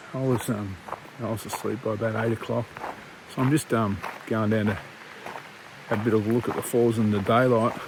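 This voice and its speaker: Noticeable background noise sits behind a man with an Australian accent. He talks at a fairly quick pace and medium pitch, with monotone, flat intonation. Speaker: hiking vlogger. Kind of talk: vlog narration. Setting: outdoors.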